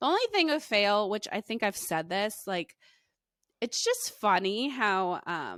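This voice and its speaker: A woman talks fairly slowly at a medium pitch, animated in tone with lively intonation. The recording is very clean with a silent background and a dry, close sound with no echo. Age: 30s. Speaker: podcast co-host, mom. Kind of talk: casual chat.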